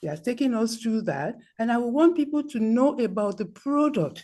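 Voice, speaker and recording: Against a quiet background, a woman speaks at a fairly slow pace in a dark, mellow tone. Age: 80s+. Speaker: senior network marketing leader. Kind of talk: motivational talk on video call.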